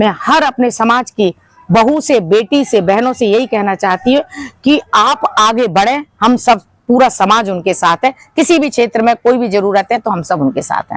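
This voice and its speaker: With lively intonation, a woman with a fairly high pitch speaks in an unremarkable speaking voice. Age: 60s. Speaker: community organization leader. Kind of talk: interview.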